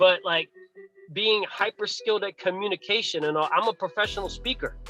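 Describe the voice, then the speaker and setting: A raised, projected voice carries fairly even intonation over music in the background. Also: man. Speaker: basketball coach and motivational speaker. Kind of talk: podcast interview. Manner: halting, repeated words.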